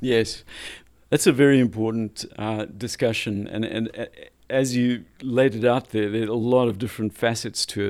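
Using an ordinary speaking voice, a man talks at medium pitch and a moderate pace with fairly even intonation. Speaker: data executive and homelessness tech advocate. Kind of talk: interview.

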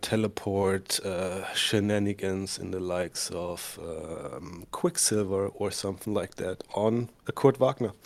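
A man speaks with a German accent. He keeps a fairly slow pace. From Germany. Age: 30s. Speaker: tabletop wargamer. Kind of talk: casual chat.

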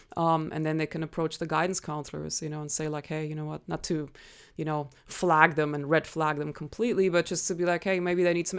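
A woman with a slight German accent speaks at a fairly quick pace in a very deep, low voice and a flat monotone, on a very clean recording with a silent background. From Germany. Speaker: nonprofit founder and martial artist. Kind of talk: interview conversation.

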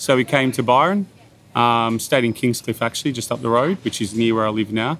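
A man talks at a fairly quick pace. His pitch sits in the medium range, with ordinary pitch variation. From Bathurst, New South Wales, Australia. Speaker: executive chef. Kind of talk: casual interview. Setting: outdoors at a beachside restaurant.

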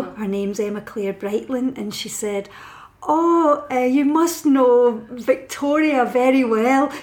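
A woman with a west of Scotland accent speaks at a fairly slow pace, her pitch varying in an ordinary way. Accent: Scottish (west of Scotland). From Scotland, Paisley. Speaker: novelist and poet. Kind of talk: casual interview.

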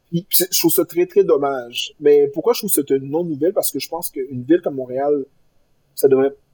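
In a dry, close recording with no echo, a man with a fairly high pitch talks at a fairly quick pace, his tone dark and mellow and his pitch variation ordinary. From Quebec, Granby. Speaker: lawyer, bar association president. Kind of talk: interview. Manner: halting, many repetitions.

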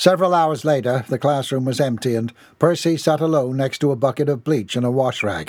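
The text is read aloud in a natural voice, and its pitch varies in an ordinary way.

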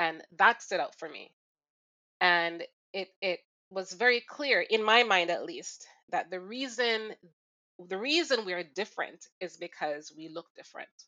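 A woman with a Jamaican accent speaks at medium pitch and a fairly slow pace, with long, frequent pauses. Her intonation is lively, and her loudness swings widely. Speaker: recurring podcast co-host. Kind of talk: casual chat.

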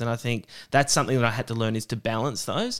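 This recording is very clean with a silent background. A man speaks with an Australian accent at a medium pitch. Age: 30s. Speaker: stand-up comedian. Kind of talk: casual interview chat. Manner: halting, many false starts.

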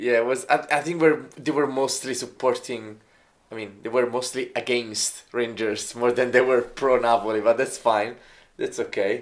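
In a very clean recording with a silent background, a man with an Italian accent talks at a medium pitch with fairly even intonation. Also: moderate pace. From Italy. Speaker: football fan co-host. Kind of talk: casual chat. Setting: pub.

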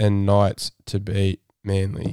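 At a very slow pace, a man with an Australian accent speaks in a dry, close sound with no echo, recorded very cleanly against a silent background. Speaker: rugby league fan podcast host. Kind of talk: casual chat. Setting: studio.

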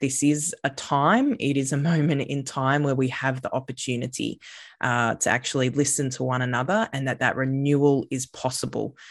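A woman with an Australian accent and a very deep, low pitch, at a moderate pace with fairly even intonation, over a quiet background. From Australia, Queensland Sunshine Coast. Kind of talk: interview conversation. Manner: frequent hesitations (uh, um).

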